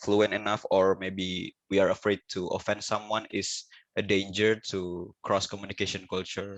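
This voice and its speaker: Against a quiet background, a man with an Indonesian accent and a fairly low pitch talks at a moderate pace, the sound dry and close with no echo. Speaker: student. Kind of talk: Q&A question. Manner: halting.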